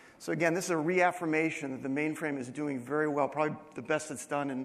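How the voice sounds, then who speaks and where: Amid audible room echo, a man with a fairly high pitch talks at a fairly quick pace with fairly even intonation. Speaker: company CEO giving conference keynote. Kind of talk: conference presentation. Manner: fast.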